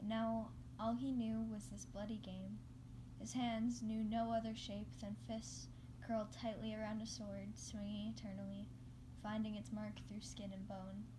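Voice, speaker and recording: Noticeable background noise and audible room echo around a woman's voice at a moderate pace. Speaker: amateur fanfiction reader. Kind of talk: reading aloud. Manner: halting.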